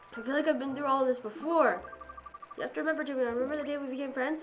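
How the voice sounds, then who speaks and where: With music in the background and audible room echo, the speech runs very fast with ordinary pitch variation. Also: woman. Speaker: gaming YouTuber. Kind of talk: gameplay commentary. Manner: animated.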